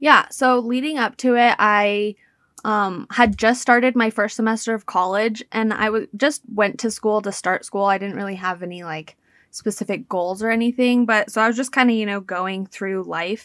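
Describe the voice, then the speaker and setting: In a very clean recording with a silent background and a dry, close sound with no echo, a woman with a plain, everyday voice speaks at a fairly high pitch, at a moderate pace, with ordinary pitch variation. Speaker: cancer survivor and social media creator. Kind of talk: interview.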